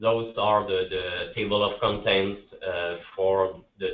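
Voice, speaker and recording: A man in a Quebec accent, fairly low-pitched, at a very slow pace. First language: French. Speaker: public infrastructure BIM specialist. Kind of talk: conference presentation. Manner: halting, many repetitions and fillers.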